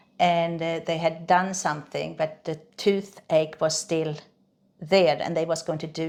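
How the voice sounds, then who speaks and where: The speech has a slight Swedish accent and monotone, flat intonation. Its pace is moderate. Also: woman. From Sweden. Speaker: reflexologist. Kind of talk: interview. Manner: halting, many fillers and repeats.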